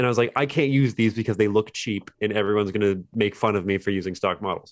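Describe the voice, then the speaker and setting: An ordinary speaking voice with an American accent talks at a fairly quick pace. The pitch varies in an ordinary way, and the background is quiet. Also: man. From West Virginia (Fairmont). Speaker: indie game developer. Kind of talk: casual interview.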